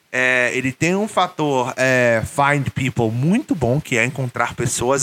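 This man speaks with ordinary pitch variation. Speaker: YouTuber and English teacher. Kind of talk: casual monologue vlog. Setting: solo video recording, no editing. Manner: informal, many fillers and hesitations.

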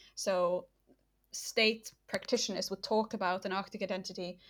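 A woman's bright, sharp tone at medium pitch comes with fairly even intonation and a fairly quick pace. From northern Norway. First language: Norwegian. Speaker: political geography lecturer. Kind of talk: interview. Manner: hesitant, many fillers.

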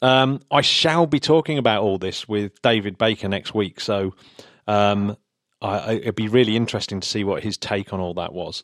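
Recorded very cleanly against a silent background, with a dry, close sound and no echo, a man with an English accent speaks at a fairly low pitch with ordinary pitch variation. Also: moderate pace. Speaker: podcast host. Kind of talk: casual chat.

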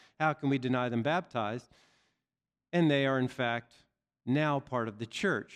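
Against a quiet background, a man with an unremarkable speaking voice talks at a moderate pace in a fairly high pitch with lively intonation. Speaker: seminary preacher. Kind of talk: sermon. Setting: church.

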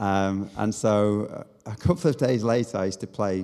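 This man has a dark, mellow tone at a fairly low pitch. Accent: Manchester. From Manchester area, northern England. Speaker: leadership coach. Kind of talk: casual chat.

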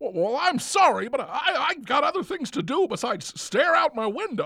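Someone with a high pitch speaks at a moderate pace, the voice making very wide pitch swings. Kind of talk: old Hollywood movie parody.

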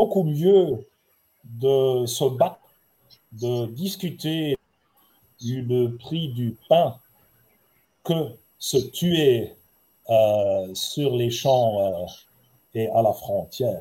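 With a German accent, a man with fairly high pitch and a dark, mellow, somewhat breathy tone speaks at a very slow pace with long, frequent pauses. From Germany (Heidelberg). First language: German (speaking French). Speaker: ambassador. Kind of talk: panel talk. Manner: halting.

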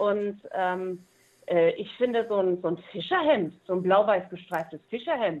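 Here is a woman with an ordinary speaking voice at medium pitch. She talks at a fairly slow pace. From East Frisia, northern Germany. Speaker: musician and entertainer. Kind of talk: interview.

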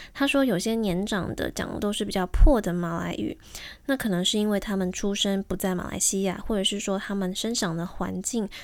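This is a normal speaking voice. It moves at a fairly quick pace with ordinary pitch variation. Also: woman. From Taiwan. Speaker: podcast host. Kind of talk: scripted narration; interview.

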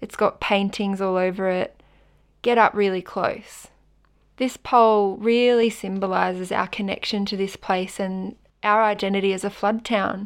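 A woman speaks with an Australian accent at a medium pitch, her intonation monotone and flat. The recording is very clean, with a silent background. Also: moderate pace. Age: 20s. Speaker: climate activist and volunteer organiser. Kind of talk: guided audio walk narration.

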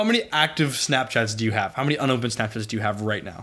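In a very clean recording with a silent background, a man with an American accent talks at a very fast pace, his medium pitch bright and sharp in tone with ordinary pitch variation. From Boston area, New England. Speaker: college student podcast co-host. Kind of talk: casual chat.

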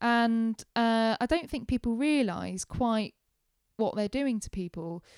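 On a very clean recording with a silent background and a dry, close sound with no echo, a woman with an English accent speaks very slowly at a fairly high pitch. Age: 20s. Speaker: former digital marketing manager and fan presenter. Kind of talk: casual interview chat. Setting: at home in her flat.

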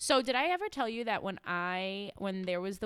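With an American accent and a plain, everyday voice, a woman speaks at a fairly slow pace and medium pitch with lively intonation, on a very clean recording with a silent background. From New York, Brooklyn. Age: 30s. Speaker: clinical social worker. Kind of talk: casual chat.

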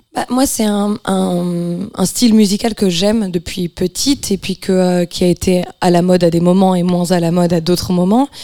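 A woman speaks at a moderate pace in a medium pitch with a dark, mellow tone, her loudness very even, her intonation fairly even and hardly any pauses, in a dry, close sound with no echo. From France. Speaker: singer-songwriter. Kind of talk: radio interview.

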